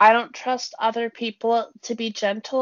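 A woman with a Canadian accent uses a normal speaking voice at a fairly high pitch. She talks at a fairly slow pace with fairly even intonation. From British Columbia, Canada. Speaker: podcast co-host. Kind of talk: casual chat.

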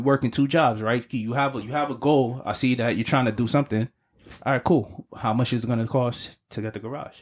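A man with a New York accent speaks at a fairly quick pace and medium pitch on a very clean recording with a silent background. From US Northeast (Brooklyn, New York). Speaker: podcast co-host. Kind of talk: casual chat. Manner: animated.

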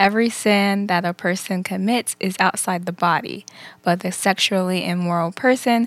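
A woman's ordinary speaking voice at a moderate pace, with fairly even intonation, on a very clean recording with a silent background. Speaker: co-host. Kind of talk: casual religious talk show.

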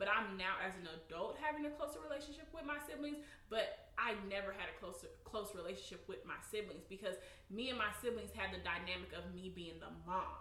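With noticeable background noise and audible room echo, a woman at a fairly high pitch talks at a fairly quick pace, her pitch swinging very widely. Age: 30s. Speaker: podcast co-host. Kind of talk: casual chat.

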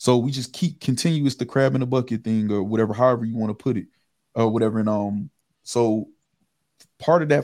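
Delivery runs at a fairly quick pace. A dark, mellow tone carries it. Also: man. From Michigan (River Rouge, near Detroit). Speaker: podcast host, guest. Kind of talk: casual chat.

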